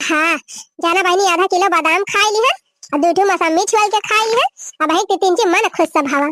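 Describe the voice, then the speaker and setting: A cartoonish character voice chatters, squeaky and very fast. The sound is dry and close, with no echo. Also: woman, extremely high pitch for a woman, very even loudness. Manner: chatty, boastful.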